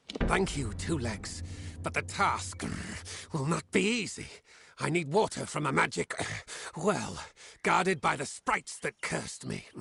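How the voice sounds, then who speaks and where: A man uses a put-on character voice at a medium pitch. He keeps a moderate pace broken by long, frequent pauses. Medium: solo performance. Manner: broken, simple grammar.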